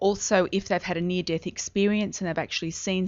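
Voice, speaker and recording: Speaking at a fairly quick pace, a woman has a medium pitch and an Australian accent. Her intonation stays fairly even. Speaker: psychic medium. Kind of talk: radio interview.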